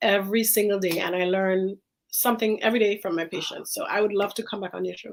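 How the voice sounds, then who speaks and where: A woman with an Antiguan accent speaks at a fairly quick pace. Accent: Caribbean (Antiguan). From Antigua, Caribbean. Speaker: infectious disease physician. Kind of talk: casual interview chat. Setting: live-streamed talk show.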